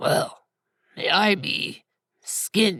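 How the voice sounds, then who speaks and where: A fairly high, raspy voice is put on as a character voice. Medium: read story. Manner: rude, grunting.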